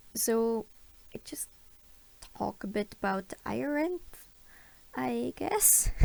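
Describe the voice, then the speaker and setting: Long, frequent pauses break up this very slow speech with a non-native accent. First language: not English. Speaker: digital artist. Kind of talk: tutorial voiceover. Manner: halting, many fillers; unscripted.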